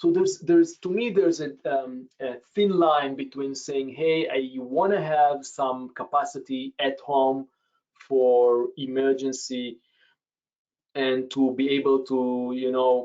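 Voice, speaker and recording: A man with a non-native accent speaks very slowly in a fairly high pitch, his intonation fairly even. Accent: foreign. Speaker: professor. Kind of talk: webinar Q&A answer. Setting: video webinar. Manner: halting, many fillers.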